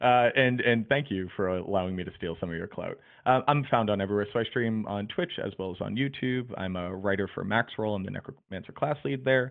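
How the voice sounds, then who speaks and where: A man with an American accent, fairly low in pitch, at a fairly quick pace with hardly any pauses and ordinary pitch variation. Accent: Boston accent, comes out at times. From Boston, US Northeast. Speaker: video game streamer and guide writer. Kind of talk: casual podcast chat. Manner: animated.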